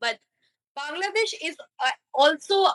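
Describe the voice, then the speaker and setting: In a Bengali accent, a woman projects a high, bright, sharp voice. She goes at a fairly slow pace, and the sound is dry and close with no echo. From India, Kolkata, West Bengal. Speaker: online chat partner. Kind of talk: casual chat. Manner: halting.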